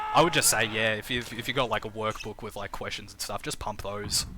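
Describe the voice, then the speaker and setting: Talking at a very fast pace with an Australian accent, a man keeps fairly even intonation over noticeable background noise. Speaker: game streamer and commentator. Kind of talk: live game commentary with chat reading. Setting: live stream. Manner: casual, repetitive filler words.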